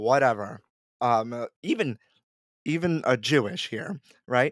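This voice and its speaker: A man speaks with ordinary pitch variation. The recording is very clean with a silent background, and the sound is dry and close with no echo. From Puerto Rican family, US. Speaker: food blogger and podcast host. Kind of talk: casual interview chat. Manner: loud, boisterous.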